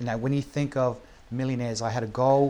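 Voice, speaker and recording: A man's medium-pitched voice with a New Zealand accent and fairly even intonation. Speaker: podcast host and entrepreneur. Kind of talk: casual interview chat. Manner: halting, many fillers.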